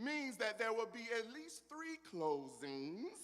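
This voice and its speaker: Fairly slow speech in a Southern US accent. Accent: southern drawl. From US South, South Carolina (Pelzer, near Greenville). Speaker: keynote speaker. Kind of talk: motivational speech. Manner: animated.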